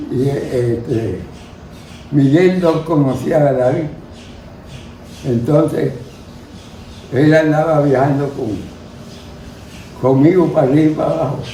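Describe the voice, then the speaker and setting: Speaking at a fairly slow pace with long, frequent pauses, a man with a fairly high pitch shows ordinary pitch variation over noticeable background noise. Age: 80s+. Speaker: cattle rancher and businessman. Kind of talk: interview answer.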